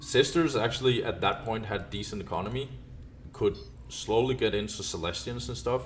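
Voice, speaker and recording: This man mumbles at a moderate pace. His intonation is lively. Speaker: esports caster. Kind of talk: game commentary recap. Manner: mumbling; hesitant, many fillers.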